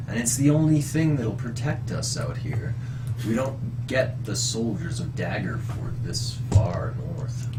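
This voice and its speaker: A man uses a put-on character voice at a medium pitch and fairly slow pace. Loud background noise runs behind him. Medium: actual play. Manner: fawning, grandiose.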